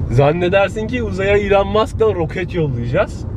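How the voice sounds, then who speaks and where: Noticeable background noise behind a male speaker, the sound dry with no echo. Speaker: vlogger. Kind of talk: casual vlog chat. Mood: irritated, joking. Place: car. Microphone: camera far.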